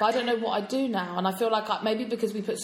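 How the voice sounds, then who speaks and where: A woman talks at a very fast pace with fairly even intonation. Background noise is noticeable. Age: 20s. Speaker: podcast co-host. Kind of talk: casual chat.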